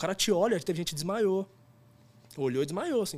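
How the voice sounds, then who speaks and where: With ordinary variation in pitch, the speech proceeds at a moderate tempo. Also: man. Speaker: photographer and former band drummer. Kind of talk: casual chat.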